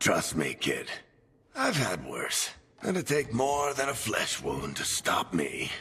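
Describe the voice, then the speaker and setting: Put-on character voice from a man at a fairly slow pace with very even loudness. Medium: video game. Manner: dry, wisecracking, warm.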